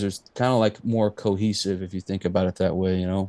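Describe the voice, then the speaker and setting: With a Texan accent and a dark, mellow tone, a man talks at a fairly quick pace with fairly even intonation against a quiet background. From East Texas. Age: 30s. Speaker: musician. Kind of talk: casual interview chat.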